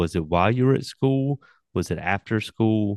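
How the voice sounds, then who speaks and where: A man with an American accent comes through in a dry, close sound with no echo against a quiet background. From Newbern, North Carolina. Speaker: podcast host. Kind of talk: interview.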